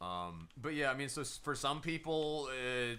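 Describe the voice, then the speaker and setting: The man sounds animated and loud. His tone is bright and sharp. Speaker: gaming streamer. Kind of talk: live gameplay stream commentary.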